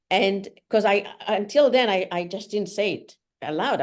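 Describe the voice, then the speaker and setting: Fairly slow speech from a woman with a non-native accent. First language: not English. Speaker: solo traveler and author. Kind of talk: interview. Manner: halting.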